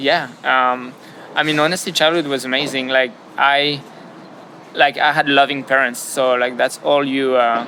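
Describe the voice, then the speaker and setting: A man with a French accent speaks at a moderate pace in a fairly high pitch, his loudness very even and his intonation flat and monotone, with audible room echo and noticeable background noise. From France. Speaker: business founder. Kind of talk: interview. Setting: outdoors beside padel courts. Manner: hesitant, many fillers and repetitions.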